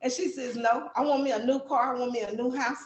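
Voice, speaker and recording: A woman speaks at a fairly quick pace with an American accent. Her voice is high-pitched. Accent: country accent, strong. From Texas. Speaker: book author. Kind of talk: interview.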